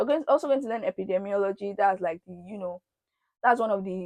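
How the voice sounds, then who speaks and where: Speech comes at a very fast pace with a dry, close sound with no echo over a quiet background. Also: woman. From Nigeria. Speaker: YouTuber, postgraduate student. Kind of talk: casual vlog talk to camera.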